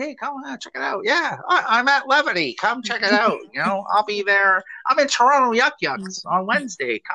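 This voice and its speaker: The speaker uses a put-on character voice with lively intonation. The pace is moderate. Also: man, extremely high pitch for a man. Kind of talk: casual, salesy. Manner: pushy, hyped-up promo.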